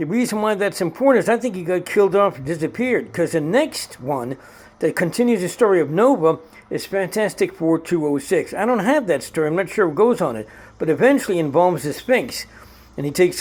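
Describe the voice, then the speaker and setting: A man with a high pitch and lively intonation at a fairly quick pace. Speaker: comic book collector vlogger. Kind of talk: casual show-and-tell monologue. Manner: fast.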